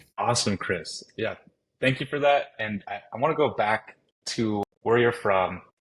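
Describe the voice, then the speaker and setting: Speaking at a fairly slow pace, a man has an ordinary speaking voice with an American accent. His pitch is medium and varies in an ordinary way. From Montana. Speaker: podcast host. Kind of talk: interview.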